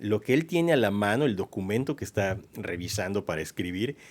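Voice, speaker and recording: This man has a fairly low pitch and an unremarkable speaking voice. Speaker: radio host, historian. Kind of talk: radio podcast conversation about history. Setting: radio booth studio.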